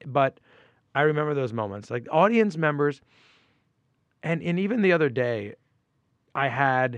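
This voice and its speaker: A man with an American accent speaks at a moderate pace with lively intonation and a fairly high pitch. The sound is dry and close with no echo. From New York, Westchester County (Port Chester). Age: 40s. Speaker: comedian. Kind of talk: casual chat.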